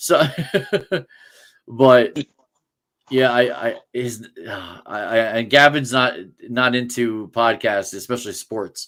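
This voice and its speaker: An American-accented man speaks at a medium pitch and a very slow pace, with long, frequent pauses, fairly even intonation and big swings in loudness. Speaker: sports podcast host. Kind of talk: casual chat. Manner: halting, many restarts.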